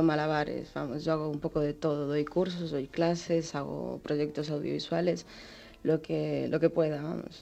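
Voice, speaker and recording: Dark and mellow in tone, the voice moves at a fairly slow pace with ordinary pitch variation. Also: woman. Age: 30s. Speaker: comic artist. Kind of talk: interview. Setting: remote radio studio.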